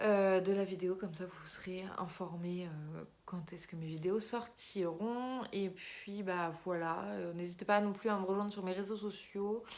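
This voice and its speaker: Fairly slow speech with hardly any pauses and audible room echo. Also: woman, medium pitch for a woman, fairly even intonation. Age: 20s. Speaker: YouTuber and amateur writer. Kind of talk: casual vlog talk. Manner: hesitant, many fillers.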